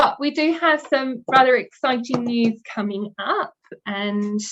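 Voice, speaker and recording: With an Australian accent, a woman speaks at a fairly slow pace. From Western Australia (Perth). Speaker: museum manager. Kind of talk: presentation talk.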